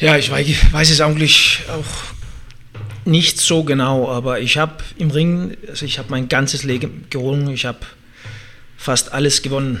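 Long, frequent pauses break up speech in a Danish accent. The pace is moderate and the pitch variation ordinary. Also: man, fairly high pitch for a man. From Denmark. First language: Danish (speaking German). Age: 30s. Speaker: MMA fighter and former Olympic wrestler. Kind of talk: interview. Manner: halting, searching for words.

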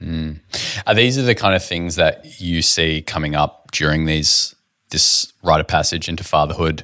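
A man's very deep, low voice in an Australian accent, bright and sharp in tone, with ordinary pitch variation at a moderate pace. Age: 20s. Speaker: podcast host. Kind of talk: podcast intro and promo; casual interview chat.

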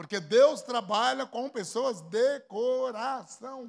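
An animated tone from a man at an extremely high pitch. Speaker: pastor. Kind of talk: sermon.

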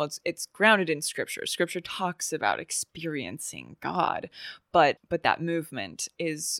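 In a very clean recording with a silent background and a dry, close sound with no echo, a woman with an unremarkable speaking voice speaks fairly slowly at a fairly low pitch with fairly even intonation. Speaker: podcast host. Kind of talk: casual interview chat.

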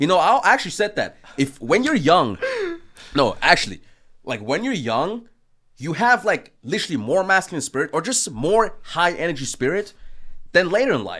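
The recording is very clean, with a silent background. A man with an American accent talks at a moderate pace. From Austria. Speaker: business and mindset coach. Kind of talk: debate. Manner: casual, animated.

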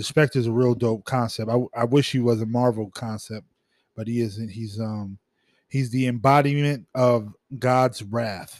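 Using a normal speaking voice, a man of medium pitch speaks at a fairly slow pace with fairly even intonation. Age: 40s. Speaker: podcast co-host. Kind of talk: casual chat. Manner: casual, filler-heavy.

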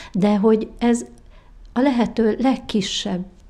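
Her voice is somewhat breathy with a dark, mellow tone, and her intonation stays fairly even. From Hungary, Várpalota. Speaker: president of association for the visually impaired. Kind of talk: interview.

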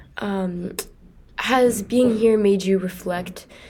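A woman talks at a medium pitch while noticeable background noise plays behind her. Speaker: student podcast host. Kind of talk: interview.

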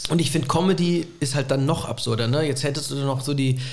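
A man speaks at a fairly high pitch with ordinary pitch variation. Audible room echo and noticeable background noise fill the recording. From Rhineland-Palatinate, Bad Kreuznach area. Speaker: comedian and university lecturer. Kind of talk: casual chat. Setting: remote call.

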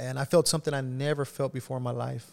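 This man's pitch is fairly high and his intonation fairly even. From South Texas (Rio Grande Valley). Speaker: pastor. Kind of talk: testimony. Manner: halting, many fillers.

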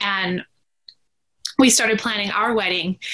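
This woman has a plain, everyday voice with a Canadian accent. She talks at a fairly quick pace with fairly even intonation. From Canada, British Columbia. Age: 30s. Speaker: caregiver and support network co-founder. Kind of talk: casual interview chat.

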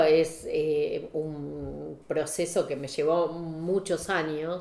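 The speech moves at a very slow pace. Noticeable background noise runs under it. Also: woman. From Saladillo, Buenos Aires province, Argentina. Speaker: photographer. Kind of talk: casual chat. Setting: at her home.

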